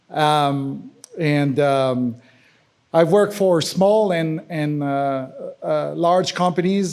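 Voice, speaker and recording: A man with a French accent talks at a fairly high pitch with fairly even intonation. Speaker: accessibility specialist and software engineer. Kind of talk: conference talk. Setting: conference session with audience. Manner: halting, many fillers.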